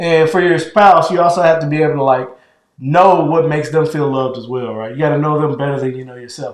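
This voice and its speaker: Audible room echo surrounds a man with a fairly high pitch. He talks at a fairly quick pace with fairly even intonation. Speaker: podcast co-host with his wife. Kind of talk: casual chat. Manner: gets louder when heated.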